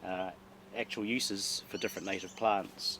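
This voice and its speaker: A man speaks with a southern New Zealand accent. His pace is moderate. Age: 60s. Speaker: gardener. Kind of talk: guided garden tour. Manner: halting, many fillers.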